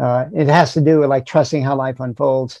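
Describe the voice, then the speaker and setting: In an American accent, a man speaks at a fairly high pitch with a dark, mellow tone. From US South. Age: 60s. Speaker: rock climber and mental coach. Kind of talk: interview.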